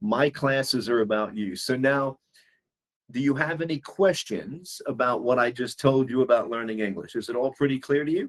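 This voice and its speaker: Speaking in a New York accent, a man at a medium pitch keeps a moderate pace with ordinary pitch variation. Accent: New York American. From US, New York City. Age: 60s. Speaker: English teacher. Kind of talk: one-on-one language lesson.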